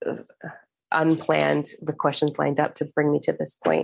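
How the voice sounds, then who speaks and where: A woman speaking at a moderate pace. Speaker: spiritual podcast host and meditation guide. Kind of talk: guided meditation. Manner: intense, energizing, building momentum.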